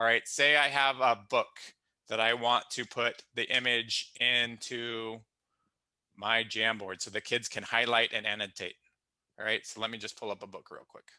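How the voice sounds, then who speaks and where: A man's medium-pitched, bright, sharp voice, monotone and flat in intonation, at a moderate pace with big swings in loudness against a quiet background. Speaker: teacher leading staff training. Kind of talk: tutorial.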